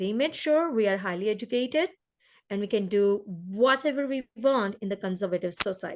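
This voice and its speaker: The speaker has a Gujarati accent and keeps a moderate pace. The background is quiet. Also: woman. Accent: Indian (Gujarati) English. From India, Gujarat. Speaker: entrepreneur. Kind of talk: interview. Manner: halting.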